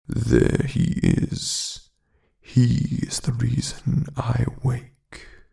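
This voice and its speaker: In a put-on character voice, a man speaks at a medium pitch and a very slow pace. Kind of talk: soft-spoken ASMR storytelling. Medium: read story.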